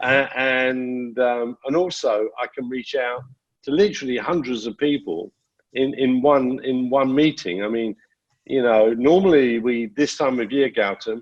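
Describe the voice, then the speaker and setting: In an ordinary speaking voice, a man speaks at a fairly slow pace with a medium pitch and ordinary pitch variation. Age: 60s. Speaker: precious metals industry panelist. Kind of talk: webinar panel discussion. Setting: video call.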